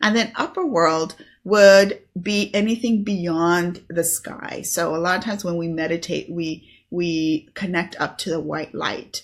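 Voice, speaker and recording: A woman with an ordinary speaking voice, fairly low pitch, fairly even intonation and a fairly slow pace, in a very clean recording with a silent background. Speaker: spiritual teacher and online business host. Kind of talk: solo video talk on spirituality. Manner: casual with many fillers.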